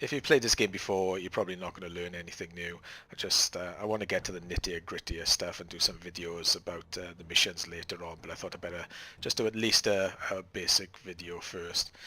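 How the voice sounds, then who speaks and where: A man with a very deep, low voice and a bright, sharp tone talks at a fairly quick pace. His intonation stays fairly even. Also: big swings in loudness. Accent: Welsh. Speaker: gaming tutorial creator. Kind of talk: gameplay tutorial commentary. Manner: casual, hesitant.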